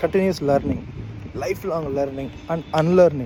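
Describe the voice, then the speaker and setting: A man talks at a moderate pace in a Telugu accent. Noticeable background noise is present. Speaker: hobby teacher, vlogger. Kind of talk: casual monologue, walking vlog. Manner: halting.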